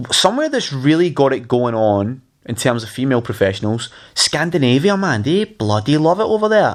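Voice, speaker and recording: A man's medium-pitched voice with a Scottish accent, very wide pitch swings and a fairly quick pace. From Scotland, Glasgow. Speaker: podcast host. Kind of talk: casual chat.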